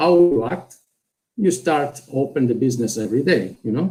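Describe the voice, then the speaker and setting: Somewhat breathy, a man with a dark, mellow tone speaks at a moderate pace with lively intonation. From southern Italy, Calabria. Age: 40s. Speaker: network marketer. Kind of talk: business presentation.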